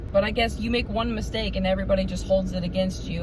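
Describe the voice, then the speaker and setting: Amid noticeable background noise and audible room echo, a woman talks in an intense tone at a very fast pace. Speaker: vlogger. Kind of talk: casual chat. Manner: animated.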